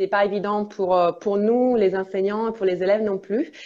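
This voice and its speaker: A woman with a slight Italian accent speaks at a medium pitch in a dark, mellow tone. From Italy. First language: Italian (speaking French). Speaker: international relations officer and English teacher. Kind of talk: live interview. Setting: Instagram live video. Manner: hesitant, many fillers.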